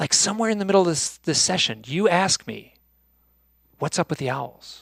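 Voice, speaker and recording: The recording is very clean, with a silent background. A man speaks in it with lively intonation. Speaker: UFO and owl researcher, author. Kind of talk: conference talk. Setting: stage with audience. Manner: fast.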